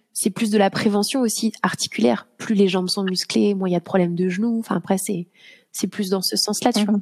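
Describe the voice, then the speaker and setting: The voice is somewhat breathy, with fairly even intonation and a fairly quick pace. The sound is dry and close, with no echo. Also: woman, medium pitch for a woman. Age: 30s. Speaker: yoga teacher. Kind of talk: casual chat. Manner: halting.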